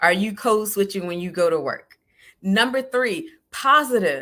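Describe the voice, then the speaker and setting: This voice has a bright, sharp tone and lively intonation, with a Southern US accent. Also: woman. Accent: Southern US, country. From US South, South Georgia. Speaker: life coach. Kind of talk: solo live podcast talk. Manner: casual, conversational.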